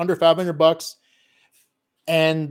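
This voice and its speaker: This man is heard in a very clean recording with total silence behind him. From Filipino heritage. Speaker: digital consultant. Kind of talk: casual chat. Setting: live stream.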